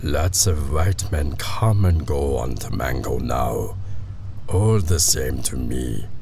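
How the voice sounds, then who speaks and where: Over clear background noise, a man uses a put-on character voice at a fairly slow pace. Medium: read story. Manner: terse, broken island English.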